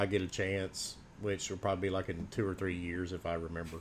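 This is a man's voice. He talks at a very fast pace. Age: 40s. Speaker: podcaster. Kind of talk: casual chat.

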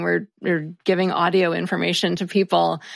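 A woman speaks at a moderate pace with vocal fry. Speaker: grammar podcast host, network founder. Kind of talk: casual chat. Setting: video call.

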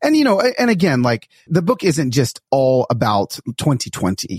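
The voice is somewhat breathy, with very wide pitch swings at a moderate pace. The sound is dry and close, with no echo. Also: man. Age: 40s. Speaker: author and speaker. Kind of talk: casual chat.

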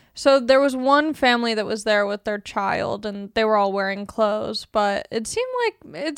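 With a normal speaking voice, a woman talks at a moderate pace and a fairly high pitch, with ordinary pitch variation. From Long Beach, California. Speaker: comedian. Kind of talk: casual chat.

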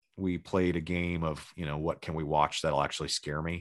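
Against a quiet background, a man with a Californian accent speaks in a very deep, low voice with monotone, flat intonation. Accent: Californian American English. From Los Angeles, Southern California. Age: 30s. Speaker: rock guitarist. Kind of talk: casual chat.

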